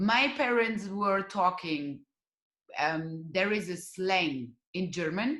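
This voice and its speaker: In a Russian accent, a woman speaks at a medium pitch with lively intonation. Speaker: dance teacher. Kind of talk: interview. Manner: halting.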